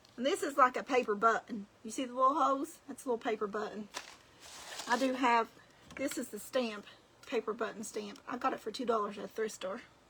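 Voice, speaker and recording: Noticeable background noise sits behind the voice. It moves at a fairly quick pace with ordinary pitch variation. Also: woman, fairly high pitch for a woman. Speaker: crafting video creator. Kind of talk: craft tutorial livestream. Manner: casual, chatty.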